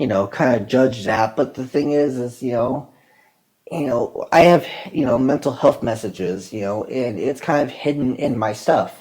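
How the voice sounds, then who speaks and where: This man's medium-pitched voice rises and falls in an ordinary way. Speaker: video producer and mental health advocate. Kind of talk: casual monologue podcast. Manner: halting, many fillers.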